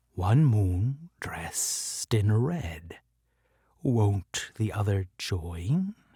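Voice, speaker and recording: A man uses a put-on character voice, fairly low, soft-spoken and hissing. He talks at a very slow pace. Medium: read story. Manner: soft, seductive.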